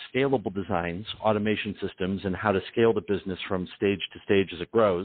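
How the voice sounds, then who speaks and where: This is a man with an American accent and a plain, everyday voice. He speaks at a fairly low pitch and a fairly quick pace with ordinary pitch variation. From Detroit, US Midwest. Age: 40s. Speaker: business consultant. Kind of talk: interview.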